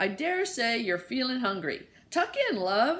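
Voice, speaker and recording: Using a put-on character voice, a woman speaks fairly slowly at a high pitch, with very wide pitch swings. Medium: read story.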